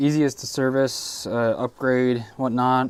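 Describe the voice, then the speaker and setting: Over noticeable background noise, a man talks very slowly with a medium pitch and monotone, flat intonation. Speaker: airsoft technician streamer. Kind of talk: live stream Q&A.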